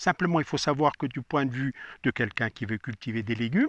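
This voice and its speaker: A man is speaking. The sound is dry and close with no echo, over a quiet background. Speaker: gardening expert. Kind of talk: casual interview.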